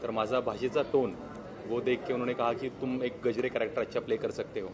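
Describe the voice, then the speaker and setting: Over noticeable background noise, a man with a Marathi accent speaks at a moderate pace in a medium pitch, his intonation fairly even. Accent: Marathi-accented Hindi. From India, Maharashtra (Bhor, Pune). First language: Marathi (speaking Hindi). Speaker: actor. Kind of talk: press event speech.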